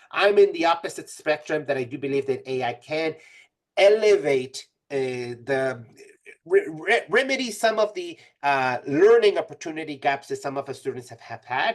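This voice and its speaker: A man with a Spanish accent speaks at a moderate pace and a fairly high pitch, with very wide pitch swings and big swings in loudness. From Mexico (Tijuana). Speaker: college instructor. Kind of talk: webinar presentation. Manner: halting, frequent fillers and restarts.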